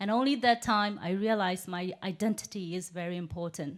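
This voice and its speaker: Captured on a very clean recording with a silent background, a woman speaks at a medium pitch in a Burmese accent. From Myanmar, Yangon. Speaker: human rights activist. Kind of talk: speech. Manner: halting.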